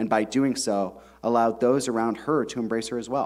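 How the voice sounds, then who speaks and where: At a medium pitch, a man talks at a fairly quick pace with fairly even intonation. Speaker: author. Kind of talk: reading aloud. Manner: fast.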